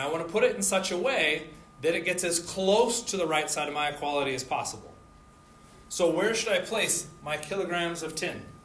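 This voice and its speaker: Against noticeable background noise and audible room echo, a man speaks fairly quickly at a high pitch with ordinary pitch variation. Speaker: chemistry instructor. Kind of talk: lecture.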